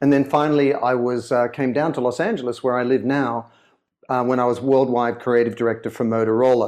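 A man with an Australian accent in monotone, flat intonation, at a fairly quick pace over a quiet background. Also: medium pitch for a man. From Sydney, Australia. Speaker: author and brand consultant. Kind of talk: interview.

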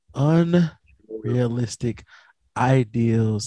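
A somewhat breathy, dark, mellow male voice at medium pitch, in an American accent, with ordinary pitch variation. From North Carolina. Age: 30s. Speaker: podcast host. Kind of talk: casual chat. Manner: animated.

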